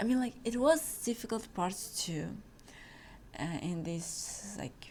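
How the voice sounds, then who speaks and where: At a fairly slow pace, a woman speaks at a medium pitch, her voice somewhat breathy. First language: not English (English is third language). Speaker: podcast host, exchange student. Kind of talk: casual chat. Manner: halting, many fillers.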